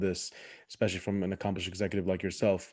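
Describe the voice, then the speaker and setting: At a very fast pace, a man speaks with a very deep, low pitch and a dark, mellow tone on a very clean recording with a silent background. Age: 20s. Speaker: podcast host. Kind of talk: podcast interview.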